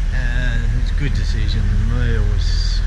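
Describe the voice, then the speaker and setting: A man's voice under loud background noise. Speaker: travel vlogger. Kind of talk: casual vlog chat. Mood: relaxed, chatty. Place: street. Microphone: phone near.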